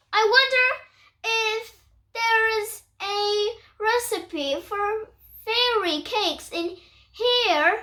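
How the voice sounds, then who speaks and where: A woman puts on a squeaky character voice at an extremely high pitch. She speaks at a very slow pace. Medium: read story.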